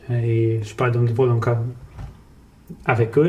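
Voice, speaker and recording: A man's somewhat breathy voice with a dark, mellow tone, at a moderate pace, with audible room echo. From France, Portuguese family. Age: 30s. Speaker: salesman, sales manager. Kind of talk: podcast interview, life story. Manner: casual, many fillers.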